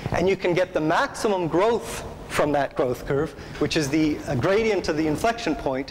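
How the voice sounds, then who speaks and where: Through noticeable background noise, a high-pitched man speaks at a moderate pace with ordinary pitch variation. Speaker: visiting scientist lecturer. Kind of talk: lecture. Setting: lecture hall with audience. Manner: animated.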